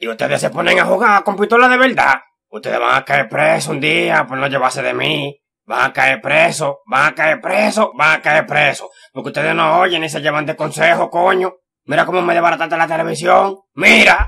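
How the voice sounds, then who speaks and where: A cartoonish character voice delivers lively intonation at a moderate pace. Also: man, fairly high pitch for a man. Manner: scolding, exasperated, repetitive.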